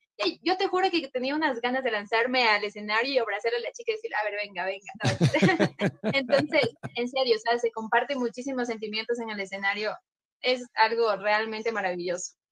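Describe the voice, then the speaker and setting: In an ordinary speaking voice, a woman talks at a moderate pace with lively intonation and hardly any pauses. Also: fairly high pitch for a woman. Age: 20s. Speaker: cumbia group singer. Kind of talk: casual interview chat.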